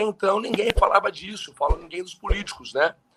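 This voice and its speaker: A man is speaking. His tone is bright and sharp. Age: 30s. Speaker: politician. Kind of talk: casual chat.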